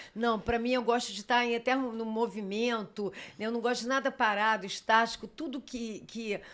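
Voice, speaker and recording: A woman's fairly high voice at a moderate pace, in a very clean recording with a silent background. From Rio de Janeiro, Brazil. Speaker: tourism executive and journalist. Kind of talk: podcast interview. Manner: talkative; lively.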